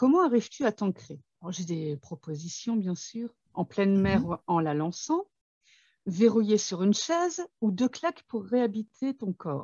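A woman's medium-pitched, somewhat breathy voice at a fairly slow pace, with very wide pitch swings. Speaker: author and channel host. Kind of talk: interview.

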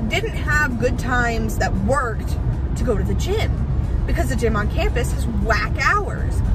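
Clear music plays in the background while a woman speaks in a dry sound with no echo. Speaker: vlogger. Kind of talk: casual vlog chat. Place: car. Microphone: phone near.

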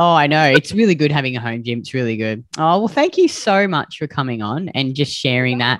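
Delivered at a fairly quick pace with an Australian accent, the voice sounds dry with no echo against a quiet background. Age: 40s. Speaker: podcast host and weight loss coach; podcast host. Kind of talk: interview, casual chat. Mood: warm, friendly. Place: home room. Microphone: video call.

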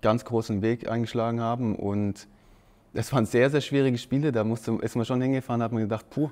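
With a dark, mellow tone and fairly even intonation, a man talks at a fairly quick pace. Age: 30s. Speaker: professional footballer. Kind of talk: casual interview. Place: studio. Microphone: lapel.

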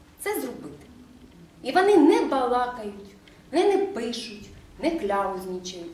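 Speaking fairly slowly, a woman with a high voice makes very wide pitch swings. There is light background noise and audible room echo. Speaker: school principal. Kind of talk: meeting discussion. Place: meeting room. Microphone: camera far.

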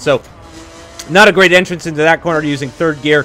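The speaker has an American accent. Noticeable background noise runs behind the voice. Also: man. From Texas. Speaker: gaming youtuber. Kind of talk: live gameplay commentary.

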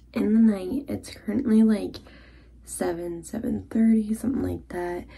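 Speaking at a very slow pace, a woman has a dark, mellow tone that is somewhat breathy. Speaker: vlogger. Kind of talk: casual vlog chat. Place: bathroom. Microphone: phone near.

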